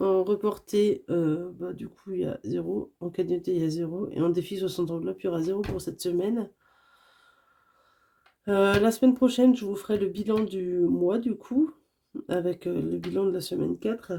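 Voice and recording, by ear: Her fairly low-pitched voice has a dark, mellow tone, a slightly husky edge and vocal fry, as the woman speaks at a moderate pace with ordinary pitch variation.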